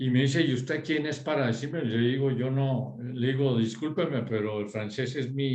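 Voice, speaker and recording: A man with a French accent at a medium pitch and moderate pace, ordinary pitch variation, hardly any pauses, and audible room echo. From Europe, French-speaking; grew up partly in Bogotá. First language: French (speaking Spanish). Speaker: former schoolmate in group discussion. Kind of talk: casual group discussion. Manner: halting, with many fillers.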